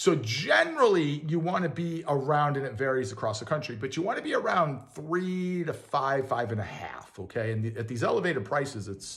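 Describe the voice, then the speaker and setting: A man at a fairly quick pace with hardly any pauses, over noticeable background noise. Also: fairly high pitch for a man, lively intonation. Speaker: landlord and real estate video host. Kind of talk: casual tutorial. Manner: fast; casual, many fillers.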